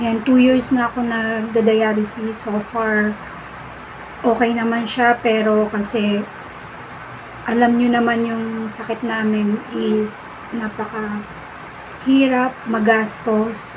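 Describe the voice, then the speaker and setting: Against noticeable background noise and audible room echo, the speech comes at a very slow pace in a monotone, flat intonation. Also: woman, fairly high pitch for a woman. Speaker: dialysis patient vlogger. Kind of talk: casual vlog talk to viewers.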